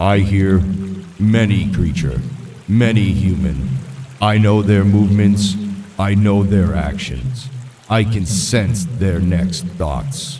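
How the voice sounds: A man's raspy, put-on character voice, fairly low in pitch, at a fairly slow pace with long, frequent pauses.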